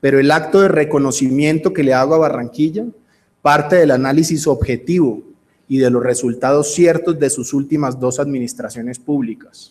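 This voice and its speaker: A man with a Cali accent at a moderate pace, fairly high pitch and ordinary pitch variation. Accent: Cali Colombian Spanish. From Colombia, Cali. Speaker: real estate business executive. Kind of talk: conference speech. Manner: formal.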